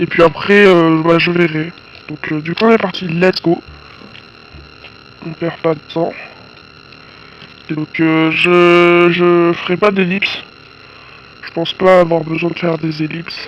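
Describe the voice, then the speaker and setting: A man's high-pitched, monotone, flat delivery at a very slow pace, full of long, frequent pauses, with noticeable background noise. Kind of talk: casual gameplay commentary.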